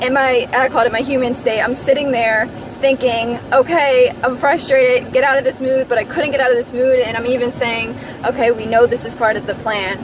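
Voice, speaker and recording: Loud and high in pitch, a woman talks at a fairly quick pace in a monotone, flat intonation over noticeable background noise. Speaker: vlogger. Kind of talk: casual vlog monologue. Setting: in a car. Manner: loud, projecting.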